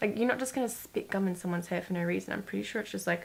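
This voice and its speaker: A woman's animated, medium-pitched voice with ordinary pitch variation. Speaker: beauty youtuber. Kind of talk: casual chat.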